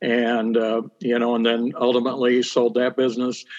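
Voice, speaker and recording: A man talks in a monotone. He has a Midwestern American accent. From US Midwest, central Illinois (Bloomington-Normal). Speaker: town council candidate, businessman. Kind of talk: interview.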